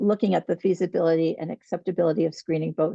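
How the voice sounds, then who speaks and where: Speaking at a very fast pace, a woman uses a fairly low pitch and an American accent. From New York. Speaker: nurse practitioner and researcher. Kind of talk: webinar presentation.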